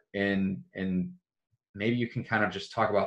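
With fairly even intonation, a man speaks in an unremarkable speaking voice pitched fairly low. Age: 30s. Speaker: podcast host. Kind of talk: podcast interview.

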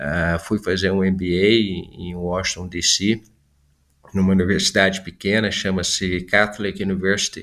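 The speech moves at a fairly slow pace in a flat monotone. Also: man, very deep, low pitch for a man. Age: 50s. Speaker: business executive. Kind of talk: interview.

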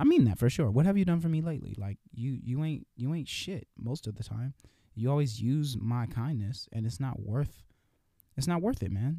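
A man with an American accent talks at a medium pitch, somewhat breathy, with lively intonation. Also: moderate pace. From California. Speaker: podcast host. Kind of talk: casual monologue. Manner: halting.

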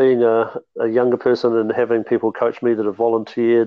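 A man with a New Zealand accent, medium in pitch, at a moderate pace. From New Zealand, Mount Maunganui. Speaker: basketball development officer and coach. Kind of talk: podcast interview.

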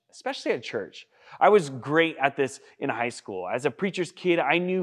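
In a dry, close sound with no echo and a quiet background, a man with an unremarkable speaking voice talks at a moderate pace with ordinary pitch variation. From Washington state, US. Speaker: youth pastor. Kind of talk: sermon.

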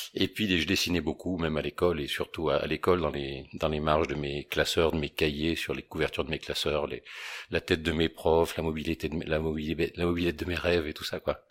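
On a very clean recording with a silent background, a man speaks fairly quickly in a very deep, low pitch with monotone, flat intonation. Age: 50s. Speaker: painter and founder of a creative agency. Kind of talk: interview. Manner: halting, with repeated words.

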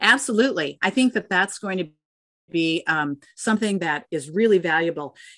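A woman speaks at a medium pitch. Hers is a normal speaking voice. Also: lively intonation, moderate pace, quiet background. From Minnesota, US Midwest. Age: 60s. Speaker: dairy industry women's network leader. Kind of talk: interview.

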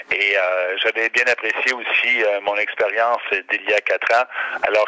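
Speaking at a moderate pace, a man sounds dry and close with no echo, though background noise is noticeable. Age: 50s. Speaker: regional politician. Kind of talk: interview. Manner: halting.

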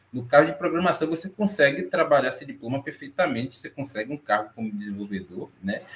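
Talking at a very fast pace, a man with a fairly high pitch sounds somewhat breathy, with lively intonation and big swings in loudness. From Brazil, Salvador, Bahia. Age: 20s. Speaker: back-end developer. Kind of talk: panel discussion.

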